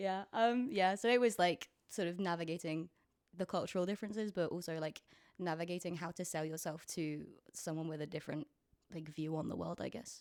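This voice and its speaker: A woman with a British accent speaks at a fairly quick pace in a fairly low pitch with ordinary pitch variation. The recording is very clean, with a silent background. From Britain. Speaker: musician. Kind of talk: casual interview. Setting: at home on a couch with friends. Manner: hesitant, many fillers.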